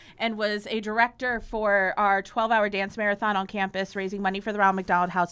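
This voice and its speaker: A woman speaks fairly quickly with an American accent, at a fairly high pitch in a bright, sharp tone. The recording is very clean, with a silent background. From Chicago. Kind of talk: casual interview chat.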